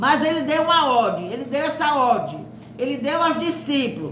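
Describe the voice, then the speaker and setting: A woman's lively intonation carries through audible room echo and noticeable background noise. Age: 70s. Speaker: preacher. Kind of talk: sermon.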